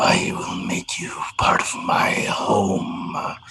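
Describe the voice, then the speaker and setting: A growling, put-on character voice at a very slow pace. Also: man. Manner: menacing.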